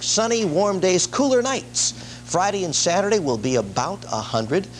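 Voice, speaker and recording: Over noticeable background noise, a high-pitched man talks at a moderate pace with very wide pitch swings. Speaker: television weather forecaster. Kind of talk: television weather forecast. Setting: 1970s broadcast news aircheck.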